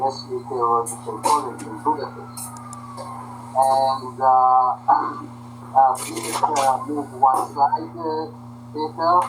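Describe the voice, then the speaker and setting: Amid noticeable background noise and audible room echo, a man speaks at a very slow pace and a medium pitch, with fairly even intonation, big swings in loudness, and long, frequent pauses. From Hungary, then Israel. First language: Hungarian. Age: 70s. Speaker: lecturer. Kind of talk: lecture.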